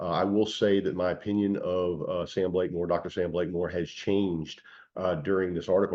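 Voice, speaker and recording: The speaker is a man with a very deep, low pitch. His intonation stays fairly even. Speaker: cannabis news vlogger and hemp shop owner. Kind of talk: casual commentary vlog. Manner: fast; hesitant, many fillers.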